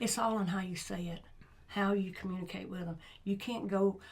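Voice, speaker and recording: A woman at a medium pitch and moderate pace, with audible room echo. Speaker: school sports coach. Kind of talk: casual chat.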